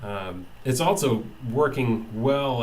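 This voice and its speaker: Ordinary pitch variation and audible room echo in a man's medium-pitched speech. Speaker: tech video maker testing software. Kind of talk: software demo tutorial. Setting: webcam recording at computer. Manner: halting, many fillers and repeats. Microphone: built-in monitor mic, about two feet away.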